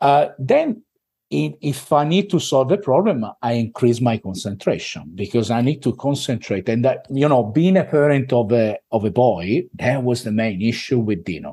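With an Italian accent, a man talks at a medium pitch in a dark, mellow tone. He makes very wide pitch swings and hardly any pauses. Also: moderate pace. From Italy. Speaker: business owner. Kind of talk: podcast interview. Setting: video call.

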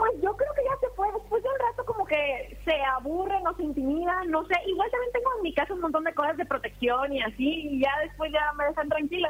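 A woman speaks at a fairly quick pace with an extremely high pitch and very wide pitch swings. She hardly pauses. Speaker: paranormal content creator. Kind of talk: interview.

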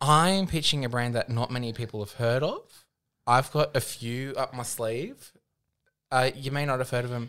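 A man with an Australian accent, medium pitch and a bright, sharp tone, on a very clean recording with a silent background. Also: ordinary pitch variation, moderate pace. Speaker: podcast co-host, drag performer. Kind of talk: casual chat.

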